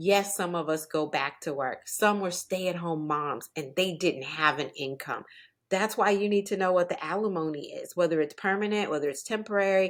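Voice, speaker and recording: A woman uses a normal speaking voice with medium pitch and ordinary pitch variation at a moderate pace. The recording is very clean with a silent background. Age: 60s. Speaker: divorce and financial coach, author. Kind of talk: podcast interview.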